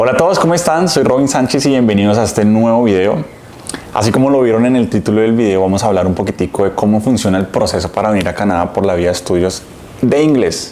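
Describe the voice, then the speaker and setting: Speaking very fast with lively intonation, a man with a fairly low pitch keeps his loudness very even over noticeable background noise. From Colombia. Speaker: immigrant vlogger. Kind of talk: vlog talk to camera. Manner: casual, conversational.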